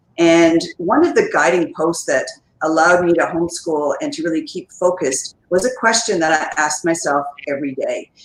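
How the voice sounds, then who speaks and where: This woman has a Canadian accent and an unremarkable speaking voice, pitched fairly low. She talks at a fairly quick pace with lively intonation. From Canada, Ottawa. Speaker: educator and speaker. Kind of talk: interview.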